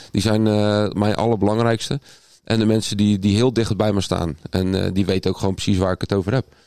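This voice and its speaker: Here a man talks at a fairly quick pace in a dark, mellow tone with fairly low pitch. His loudness is very even, and his intonation fairly even. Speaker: podcast co-host. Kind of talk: casual chat.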